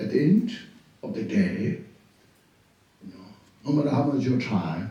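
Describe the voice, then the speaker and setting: Amid audible room echo, a man with a fairly high pitch talks at a moderate pace. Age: 80s+. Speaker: Buddhist teacher. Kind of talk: dharma teaching. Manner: halting, repetitive phrasing.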